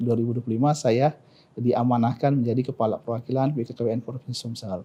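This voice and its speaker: Talking at a fairly quick pace, a man has a dark, mellow tone. His intonation is monotone and flat. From South Sumatra, Indonesia. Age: 40s. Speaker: provincial government official, doctor. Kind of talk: interview. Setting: studio podcast. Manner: halting, with many fillers.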